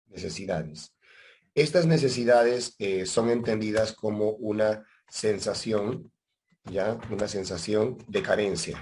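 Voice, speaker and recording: Against a quiet background, a man speaks very slowly in a fairly low voice. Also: ordinary pitch variation. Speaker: teacher. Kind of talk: lecture. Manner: conversational, checks understanding often.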